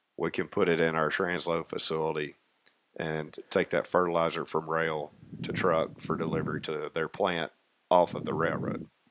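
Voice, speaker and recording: Monotone, flat intonation at a moderate pace, with a Tennessee accent. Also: man, very deep, low pitch for a man. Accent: Southern US, Tennessee. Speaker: railroad maintenance contractor. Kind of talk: casual interview.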